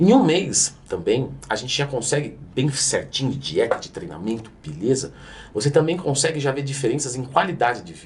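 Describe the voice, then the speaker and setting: A man with a Brazilian accent and a fairly high pitch. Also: lively intonation, big swings in loudness. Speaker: fitness coach and youtuber. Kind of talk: educational explainer. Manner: fast.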